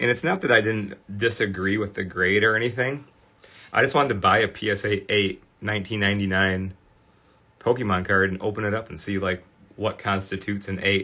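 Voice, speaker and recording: A man with a Michigan accent, a bright, sharp tone, a fairly low pitch and fairly even intonation at a fairly quick pace. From Michigan, US. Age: 40s. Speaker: sports card restorer and livestream host. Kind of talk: live stream presentation. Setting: live online stream. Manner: casual, filler-heavy.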